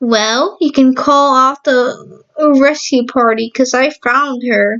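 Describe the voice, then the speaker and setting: A woman speaks very slowly in a put-on character voice pitched high. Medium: read story. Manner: gentle, motherly.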